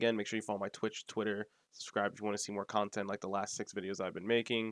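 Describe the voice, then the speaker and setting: A man's fairly low, monotone, flat voice at a very fast pace, dry and close with no echo, on a very clean recording with a silent background. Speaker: gaming youtuber. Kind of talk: casual update vlog. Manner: subdued, low energy.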